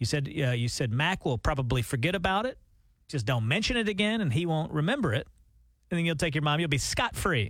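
In a Southern US accent, a man speaks at a very fast pace with a fairly high pitch and very wide pitch swings. His loudness stays very even, and the recording is very clean with a silent background. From US South. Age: middle-aged. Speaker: radio host. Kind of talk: casual chat. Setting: studio.

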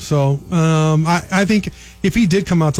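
A man speaks with music in the background. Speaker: sports analyst and recruiting reporter. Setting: radio studio.

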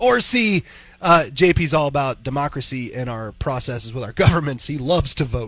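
Quick-ish and lively, a man with an American accent speaks at a fairly high pitch and a fairly quick pace with lively intonation. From Missouri. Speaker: morning radio co-host. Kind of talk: casual chat. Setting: studio.

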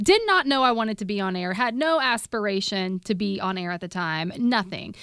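This woman has an ordinary speaking voice with a medium pitch. She talks at a fairly quick pace with ordinary pitch variation. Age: 30s. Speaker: radio host. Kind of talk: casual chat.

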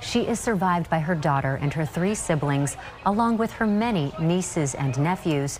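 In an unremarkable speaking voice, a woman talks at a fairly slow pace and a fairly low pitch, with lively intonation. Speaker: news anchor. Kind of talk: news reading.

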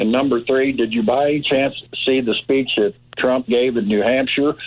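Noticeable background noise surrounds a man speaking in an American accent. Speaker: caller. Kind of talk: casual chat. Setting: phone call.

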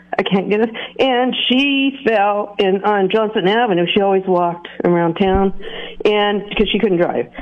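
A woman's medium-pitched voice, a normal speaking voice, at a moderate pace with ordinary pitch variation and very even loudness. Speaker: caller. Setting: phone call.

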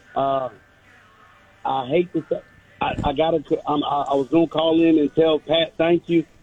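Music plays in the background while a man with a fairly high pitch talks at a moderate pace in a monotone, flat intonation, leaving long, frequent pauses. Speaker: caller. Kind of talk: call-in sports talk.

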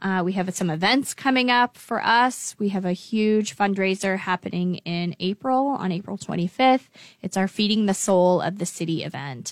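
With an ordinary speaking voice at medium pitch, a woman talks at a moderate pace with ordinary pitch variation and hardly any pauses, on a very clean recording with a silent background. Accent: American. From Lincoln, Nebraska, US Midwest. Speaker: nonprofit executive director. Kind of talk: radio interview.

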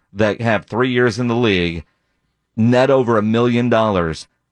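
A man with a plain, everyday voice talks at a fairly slow pace, his pitch medium with ordinary variation. The sound is dry and close with no echo, over a quiet background. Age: 40s. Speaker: sports radio host. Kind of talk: sports talk radio.

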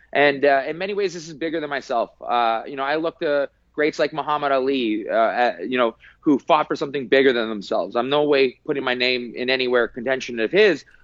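A man speaks at a fairly quick pace in a fairly high pitch. His pitch varies in an ordinary way. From Canada. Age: 30s. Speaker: MMA fighter. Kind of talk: interview. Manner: halting.

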